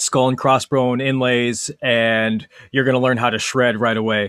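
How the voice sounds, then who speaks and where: With an American accent, a man has a normal speaking voice and a medium pitch. He talks at a fairly slow pace with fairly even intonation, in a dry, close sound with no echo. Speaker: guitar teacher. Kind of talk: interview.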